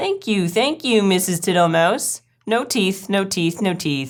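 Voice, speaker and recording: A woman's put-on character voice at medium pitch and a fairly slow pace, on a very clean recording with a silent background. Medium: read story. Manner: slow, smiling, repetitive.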